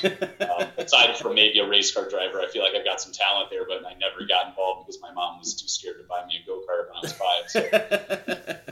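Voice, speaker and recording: Over noticeable background noise, a man with an American accent speaks at a fairly quick pace with hardly any pauses and big swings in loudness. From Illinois, US Midwest. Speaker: hockey announcer. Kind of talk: casual chat.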